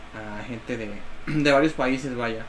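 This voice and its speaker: With audible room echo and noticeable background noise, a man speaks at a medium pitch and a fairly slow pace. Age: 20s. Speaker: dancer. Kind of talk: casual chat.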